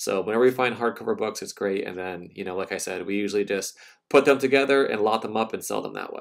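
Loudness swings widely at a very fast pace. The background is quiet. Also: man, fairly low pitch for a man, ordinary pitch variation. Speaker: reseller vlogger. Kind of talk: casual vlog commentary. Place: garage. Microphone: phone near.

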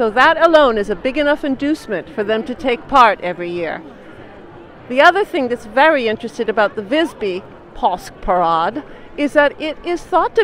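Against crowd noise, a woman speaks at a moderate pace and high pitch with very wide pitch swings, the sound dry with no echo. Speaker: narrator of parade video. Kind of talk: narration of a live event, casual talk to camera. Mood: cheerful, informative. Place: street. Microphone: handheld.

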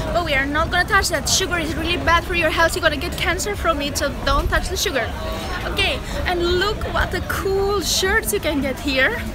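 A woman speaks at a fairly quick pace with ordinary pitch variation. The sound is dry with no echo, and music plays clearly in the background. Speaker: travel vlogger. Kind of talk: casual vlog chat. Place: market. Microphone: phone near.

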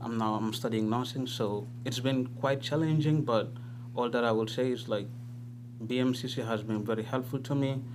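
A man speaks at a moderate pace with monotone, flat intonation and very even loudness. Audible room echo surrounds the voice. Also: medium pitch for a man. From The Gambia. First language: not English. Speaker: nursing student. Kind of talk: personal testimony. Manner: halting.

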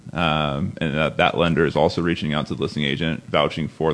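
A man talks in an American accent at a very deep, low pitch. Vocal fry runs through his voice. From US West Coast, San Luis Obispo County, California. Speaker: real estate buyer's agent. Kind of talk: casual interview chat.

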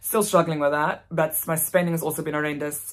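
A woman speaks with a very deep, low pitch and a South African accent. The background is quiet. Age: 20s. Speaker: vlogger. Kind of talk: casual vlog monologue. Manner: fast talker. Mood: relaxed, candid. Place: home room. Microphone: phone near.

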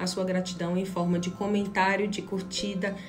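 Clear music plays in the background as a woman talks. Her moderate pace carries a monotone, flat intonation. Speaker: tarot reader. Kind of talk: channel intro, casual direct address. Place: home room. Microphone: phone near.

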